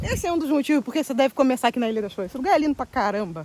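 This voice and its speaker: The tone is animated. The intonation rises and falls in a lively way. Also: woman. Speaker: travel vlogger. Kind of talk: casual vlog talk to camera. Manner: fast.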